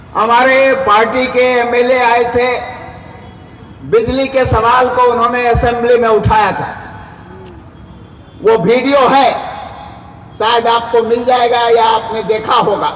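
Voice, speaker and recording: A man speaks at an extremely high pitch in a monotone, flat delivery, leaving long, frequent pauses. Room echo is audible, and background noise is noticeable. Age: 70s. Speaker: political activist. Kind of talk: public speech at a meeting. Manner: impassioned.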